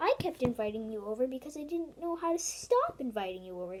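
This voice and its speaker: A woman puts on a character voice, high in pitch and very fast. Light background noise sits behind her. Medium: read story. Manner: sing-song calling.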